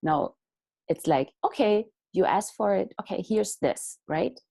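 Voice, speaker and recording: A woman's dark, mellow tone with vocal fry and lively intonation, at a moderate pace, in a dry, close sound with no echo. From Europe. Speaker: artist and inspirational speaker. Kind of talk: inspirational talk. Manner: animated.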